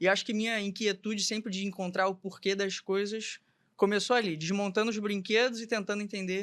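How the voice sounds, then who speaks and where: This man's voice sits high in pitch, and his intonation stays fairly even. He speaks at a moderate pace on a very clean recording with a silent background. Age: 20s. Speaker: medical student and health tech specialist. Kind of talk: podcast interview.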